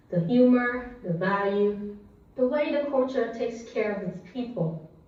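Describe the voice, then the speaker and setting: Speaking at a fairly slow pace, a woman has a fairly high pitch and ordinary pitch variation, with audible room echo around her. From Vietnam. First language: Vietnamese. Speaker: public speaker. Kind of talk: prepared speech.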